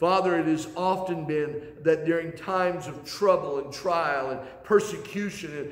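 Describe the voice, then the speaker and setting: With ordinary pitch variation and a moderate pace, a man speaks amid audible room echo. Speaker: pastor. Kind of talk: sermon. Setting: church sanctuary, recorded video. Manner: earnest, steady preacher's delivery with pauses and repeated phrases. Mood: earnest, heartfelt. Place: church. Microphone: camera far.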